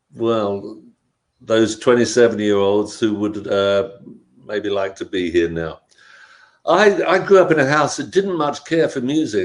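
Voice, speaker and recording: Speaking at a fairly slow pace, a man with a London accent uses a medium pitch with very wide pitch swings. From South London, England. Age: 70s. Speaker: punk rock musician. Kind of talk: interview.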